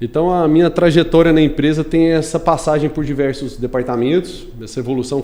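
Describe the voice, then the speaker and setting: Here a man talks at a fairly quick pace. His tone is dark and mellow. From Brazil, Goiânia. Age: 30s. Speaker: construction company executive and civil engineer. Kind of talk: podcast interview.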